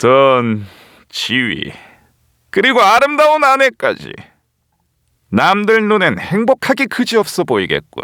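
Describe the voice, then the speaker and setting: A man puts on a strained, high-pitched character voice, speaking fairly slowly with long, frequent pauses. The sound is dry and close, without echo. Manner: restrained villainous delivery.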